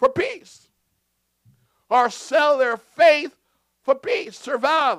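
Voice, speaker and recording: The man's voice has a bright, sharp tone. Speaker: pastor. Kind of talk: sermon. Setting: church with congregation. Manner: deliberately slow for clarity.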